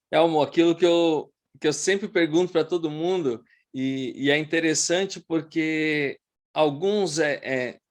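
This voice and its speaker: Against a quiet background, a man with a fairly high pitch speaks at a fairly slow pace with fairly even intonation. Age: 40s. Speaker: podcast host. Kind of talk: interview. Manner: halting.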